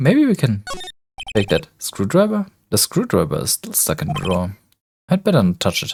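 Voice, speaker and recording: With music in the background, a speaker with a non-native accent talks at a moderate pace, leaving long, frequent pauses. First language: not English. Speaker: let's play gamer. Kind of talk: gameplay commentary with reading game text aloud.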